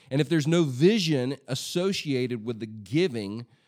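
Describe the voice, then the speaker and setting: In a very clean recording with a silent background, a plain, everyday voice speaks at a moderate pace with lively intonation. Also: man. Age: 40s. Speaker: pastor and church leadership podcast host. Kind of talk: solo leadership podcast monologue. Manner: casual, conversational with frequent fillers.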